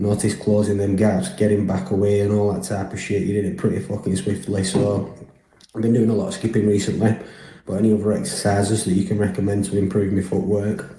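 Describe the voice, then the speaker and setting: With audible room echo, a man talks at a very fast pace in a fairly low, somewhat breathy voice with a dark, mellow tone and monotone, flat intonation. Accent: Lancashire. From northern England, Burnley, Lancashire. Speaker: listener sending a question. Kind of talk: recorded voice message question.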